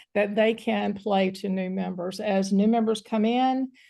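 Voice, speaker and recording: This woman's voice has a dark, mellow tone. Her intonation stays fairly even. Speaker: training presenter. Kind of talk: online training session.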